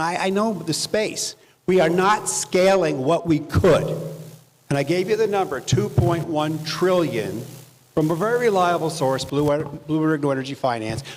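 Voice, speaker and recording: Noticeable background noise runs under a man's voice. He talks at a moderate pace with lively intonation. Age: 70s. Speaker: climate finance investor. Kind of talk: panel discussion. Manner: animated.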